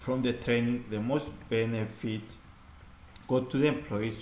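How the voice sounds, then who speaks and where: A man with a non-native accent talks at a fairly quick pace, his medium-pitched voice fairly even in intonation, with audible room echo around him. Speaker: student presenting an assignment. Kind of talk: recorded class presentation. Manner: halting, with fillers and repeats.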